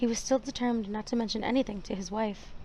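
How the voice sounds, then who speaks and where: Soft-spoken and fairly quick, a woman talks at a fairly high pitch with fairly even intonation. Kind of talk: audiobook reading.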